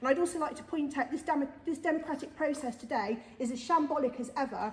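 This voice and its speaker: A woman talks loudly with a high pitch. Her pace is very fast. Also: ordinary pitch variation. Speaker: parent campaigner giving public statement. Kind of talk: public statement at council meeting. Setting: council meeting. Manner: forceful.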